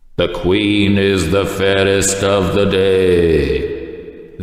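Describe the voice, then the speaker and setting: In a put-on character voice, a man speaks very slowly in a solemn tone at a fairly low pitch, with clear echo. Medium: read story. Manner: solemn, oracular.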